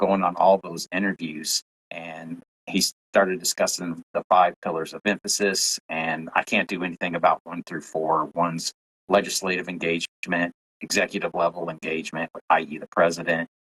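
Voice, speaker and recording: A man with a Southern US accent and a very deep, low pitch speaks at a moderate pace in a monotone, flat intonation, with big swings in loudness and a dry, close sound with no echo. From Tennessee. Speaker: UFO content creator. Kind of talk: podcast interview.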